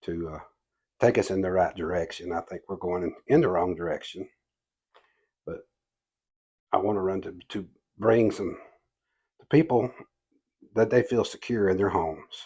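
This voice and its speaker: A man with a Southern US accent speaks at a moderate pace in a very deep, low voice with a dark, mellow tone, ordinary pitch variation, big swings in loudness and long, frequent pauses over a quiet background. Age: 60s. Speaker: political candidate. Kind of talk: interview. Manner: halting.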